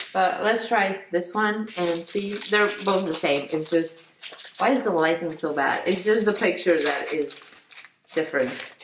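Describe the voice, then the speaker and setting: Noticeable background noise sits under the voice. The pace is fairly slow, with ordinary pitch variation. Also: woman. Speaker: vlogger. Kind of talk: casual vlog chat, snack taste test. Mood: cheerful, enthusiastic. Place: kitchen. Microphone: phone near.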